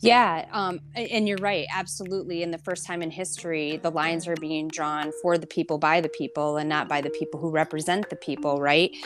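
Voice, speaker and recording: A woman with an American accent talks at a fairly quick pace and a fairly low pitch, with hardly any pauses and noticeable background noise. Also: fairly even intonation. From Michigan, Flint. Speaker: nonprofit association president. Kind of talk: interview. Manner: hesitant fillers.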